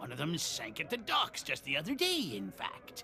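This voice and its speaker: Clear background noise accompanies a man doing a put-on character voice. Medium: video game. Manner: gruff, sardonic.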